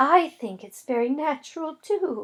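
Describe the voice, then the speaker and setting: A woman puts on a high-pitched character voice and talks at a moderate pace. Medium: read story. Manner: soft-spoken, polite.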